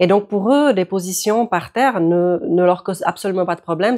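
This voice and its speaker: Recorded very cleanly with a silent background, a woman at medium pitch speaks at a fairly slow pace with ordinary pitch variation. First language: Czech (speaking French). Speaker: yoga teacher. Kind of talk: tutorial.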